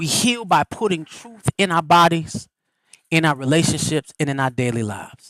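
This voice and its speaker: This man's fairly high voice has a bright, sharp tone and an animated delivery with ordinary pitch variation. The sound is dry and close, with no echo. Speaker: livestream host and spiritual speaker. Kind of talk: motivational talk. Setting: live stream. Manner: fast.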